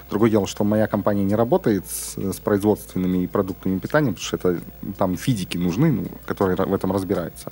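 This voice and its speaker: Amid noticeable background noise, a man talks very fast. His fairly low voice carries lively intonation. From Urals, Russia. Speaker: podcast host. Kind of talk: casual chat. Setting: studio.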